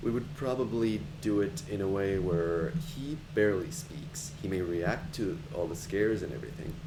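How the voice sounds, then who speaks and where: A man's relaxed, fairly low voice with very wide pitch swings and audible room echo. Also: moderate pace. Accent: slight non-native. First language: not English. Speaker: video game streamer. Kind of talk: casual live stream chat. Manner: relaxed, with many fillers and restarts.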